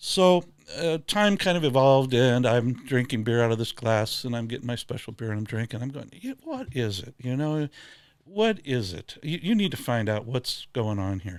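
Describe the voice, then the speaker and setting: This man speaks with a US Midwestern accent at a medium pitch. His intonation is lively and his pace moderate. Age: 70s. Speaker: glassware maker. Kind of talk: casual chat.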